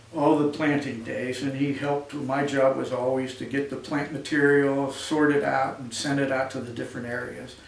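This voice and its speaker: A man with an American accent speaks at a moderate pace, hardly pausing, in a fairly high pitch. His intonation is flat and monotone, and noticeable background noise runs underneath. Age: 70s. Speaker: community volunteer organizer and donor. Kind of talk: speech at a breakfast event. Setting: event with live audience.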